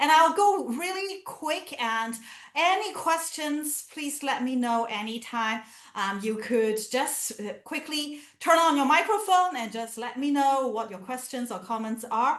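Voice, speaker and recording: This woman has a Chinese accent and a high-pitched voice. She talks at a fairly slow pace with very wide pitch swings. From China, Canton (Guangdong). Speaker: professor. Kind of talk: lecture. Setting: video call.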